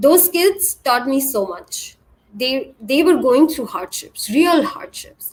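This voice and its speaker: At a very slow pace, a high-pitched woman speaks with very wide pitch swings. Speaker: tech industry speaker. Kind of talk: conference talk. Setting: virtual event. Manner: halting.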